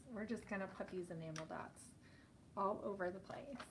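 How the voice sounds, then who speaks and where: A woman's medium-pitched voice with an American accent and ordinary pitch variation, plus audible room echo and noticeable background noise. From US East Coast. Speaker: scrapbooking YouTuber. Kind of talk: casual live-stream chat while crafting. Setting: live stream at home craft desk. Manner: loud; chatty, animated.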